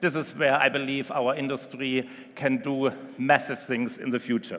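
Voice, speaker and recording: A man speaks with a German accent at a moderate pace. His pitch is medium and his intonation fairly even. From Germany. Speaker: marina company executive. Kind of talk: conference presentation. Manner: hesitant, frequent um fillers.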